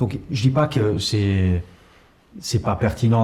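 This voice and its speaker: A man speaks with a dark, mellow tone and a fairly low pitch. His voice is somewhat breathy. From Luxembourg, Italian parents. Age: 40s. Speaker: startup incubator CEO. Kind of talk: podcast interview. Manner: hesitant, many fillers and repetitions.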